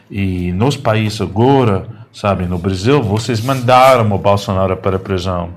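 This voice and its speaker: A man with an American accent speaks at a fairly low pitch and fairly slow pace, with noticeable background noise and audible room echo. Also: ordinary pitch variation. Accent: foreign (American) accent in Portuguese. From United States. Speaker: journalist. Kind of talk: interview. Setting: studio. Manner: halting, hesitant.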